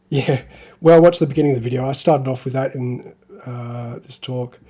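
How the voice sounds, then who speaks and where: A man's medium-pitched voice comes through somewhat breathy, the intonation fairly even. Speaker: hobbyist live streamer. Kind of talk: live stream tutorial chat. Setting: live stream. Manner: casual, hesitant with fillers.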